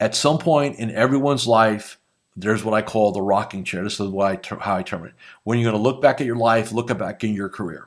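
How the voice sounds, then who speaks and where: Recorded very cleanly against a silent background, a man with a normal speaking voice talks at a fairly quick pace in a fairly low pitch with ordinary pitch variation. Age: 60s. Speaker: business coach for financial advisors. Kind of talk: motivational talk; show outro with promotion. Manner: casual, conversational.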